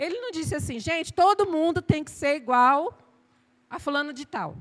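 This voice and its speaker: A woman speaks at a high pitch in an animated tone with lively intonation. Her pace is moderate, and her loudness swings widely. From Bahia, Brazil. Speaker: pastor. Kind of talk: sermon. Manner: animated, sometimes shouting.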